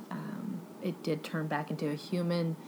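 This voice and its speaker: A woman speaks in a Texan accent. Her pitch is fairly low. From Texas. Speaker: book podcast host. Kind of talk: casual book review monologue.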